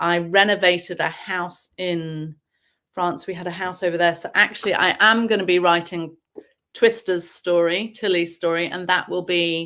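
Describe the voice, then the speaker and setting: A woman with an English accent and fairly low pitch speaks at a moderate pace in monotone, flat intonation, in a very clean recording with a silent background. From England (boarding school from age seven). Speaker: novelist. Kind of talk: interview.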